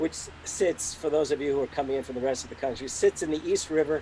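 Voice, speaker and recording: Loud man's voice, fairly high-pitched, with very wide pitch swings. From New York City. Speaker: professor. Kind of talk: political speech. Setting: video call. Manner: animated.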